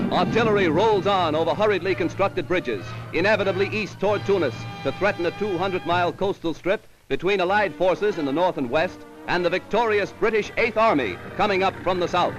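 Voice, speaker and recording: Over music in the background, a man with an American accent talks at a very fast pace and high pitch. His loudness stays very even throughout. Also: ordinary pitch variation. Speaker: newsreel narrator. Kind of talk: wartime newsreel narration. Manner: dramatic, emphatic.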